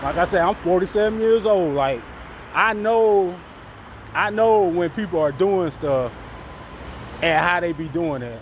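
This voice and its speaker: A man with an American accent speaks at a high pitch and moderate pace, his intonation lively, over noticeable background noise. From Florida. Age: 40s. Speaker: vlogger. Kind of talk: casual vlog monologue.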